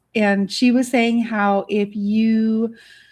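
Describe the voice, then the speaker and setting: A soft-spoken woman with a fairly high, somewhat breathy voice is heard against a quiet background. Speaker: artist and online business educator. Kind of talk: livestream Q&A. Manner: chatty, bubbly.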